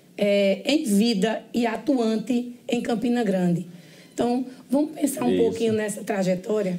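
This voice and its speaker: Against noticeable background noise, a woman speaks at a fairly slow pace with very even loudness and ordinary pitch variation. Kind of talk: interview question.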